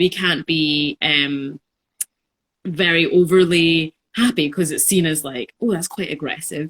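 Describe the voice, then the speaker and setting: This is a normal speaking voice at a fairly slow pace, recorded with a dry, close sound and no echo. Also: woman, fairly low pitch for a woman, ordinary pitch variation. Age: 20s. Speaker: podcast co-host. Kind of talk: casual chat.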